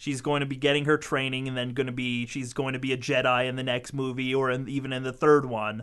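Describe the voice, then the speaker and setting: The voice belongs to a man and has a bright, sharp tone. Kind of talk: casual chat.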